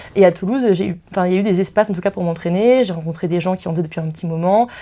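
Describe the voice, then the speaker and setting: A woman speaks very fast in a fairly low voice with a dark, mellow tone and ordinary pitch variation. The recording is very clean, with a silent background. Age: 20s. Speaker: law student. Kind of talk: interview. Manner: halting.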